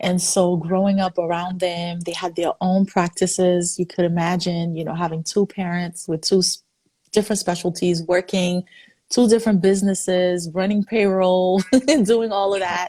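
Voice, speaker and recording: A woman's medium-pitched, somewhat breathy voice, dark and mellow in tone, at a moderate pace with monotone, flat intonation. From Haiti. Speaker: physician. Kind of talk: interview.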